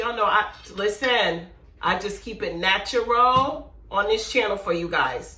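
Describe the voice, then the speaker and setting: Amid noticeable background noise and audible room echo, a woman speaks in an animated tone with very wide pitch swings. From West Indian heritage. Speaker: cooking YouTuber. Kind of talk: casual cooking tutorial. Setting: home kitchen.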